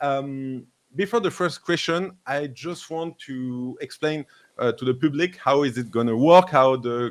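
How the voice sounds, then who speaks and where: A man speaks with a French accent and ordinary pitch variation. The recording is very clean, with a silent background. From France. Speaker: crypto livestream host. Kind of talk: live interview show. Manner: halting, many fillers.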